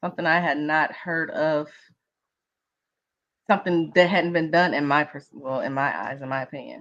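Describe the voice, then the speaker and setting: Against a quiet background, a woman with a Mississippi accent talks at a fairly quick pace in a fairly low pitch. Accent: Mississippi country. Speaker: interviewee in documentary episode. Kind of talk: panel discussion at screening event. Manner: enthusiastic.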